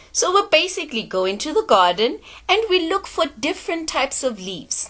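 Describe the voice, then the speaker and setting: With a South African accent, the speaker talks at a moderate pace in an upbeat tone full of very wide pitch swings. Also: woman. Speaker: teacher. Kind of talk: children's phonics lesson.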